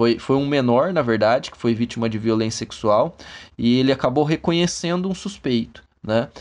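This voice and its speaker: A normal speaking voice from a man, medium in pitch and moderate in pace, with big swings in loudness against a quiet background. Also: ordinary pitch variation. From interior of São Paulo state, Brazil. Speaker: forensic expert (criminal investigator). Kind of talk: interview.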